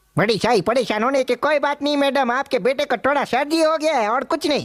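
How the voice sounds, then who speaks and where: A high, female-sounding cartoonish character voice moves at a fairly quick pace. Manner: calm, reassuring.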